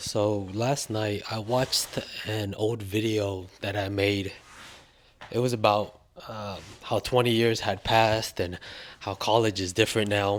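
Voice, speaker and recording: This man's fairly low voice moves at a fairly slow pace with monotone, flat intonation. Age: 40s. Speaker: college student, formerly incarcerated. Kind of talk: casual vlog talk to camera.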